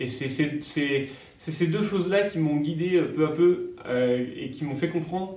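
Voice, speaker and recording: In a room with audible echo, a man with a fairly high pitch speaks at a fairly slow pace, his pitch varying in an ordinary way. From France, Paris region (Yvelines). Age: 30s. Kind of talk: interview. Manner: halting, many hesitations.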